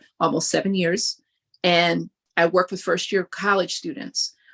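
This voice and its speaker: A woman's medium-pitched voice with vocal fry, at a moderate pace, in a dry, close sound with no echo and a quiet background. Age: 60s. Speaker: higher education professional, event speaker. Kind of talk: interview. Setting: livestream.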